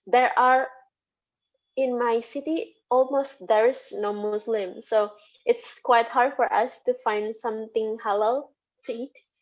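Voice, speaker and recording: Speaking with an Indonesian accent, a woman talks at a fairly slow pace with ordinary pitch variation. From Indonesia (Sundanese, West Java). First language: Sundanese. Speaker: lecturer. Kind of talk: interview. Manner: halting.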